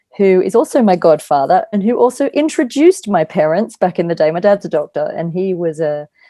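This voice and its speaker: Dark and mellow in tone, the voice carries an Australian accent and lively intonation at a fairly quick pace. The sound is dry and close, with no echo. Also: woman. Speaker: angel communicator and spiritual healer. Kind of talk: podcast interview.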